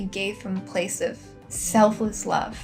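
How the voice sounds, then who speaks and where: Soft-spoken and gentle in tone, a woman with a fairly high pitch talks at a moderate pace with fairly even intonation over music in the background. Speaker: lifestyle and wellness vlogger. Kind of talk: casual talk to camera, heart-to-heart reflection. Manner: soft-spoken, gentle.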